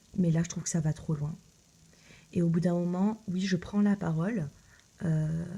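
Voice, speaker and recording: A woman speaks somewhat breathy in a dark, mellow tone with fairly low pitch and fairly even intonation. Her pace is fairly slow, with long, frequent pauses. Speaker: tarot reader youtuber. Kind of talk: casual video address. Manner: hesitant, many fillers.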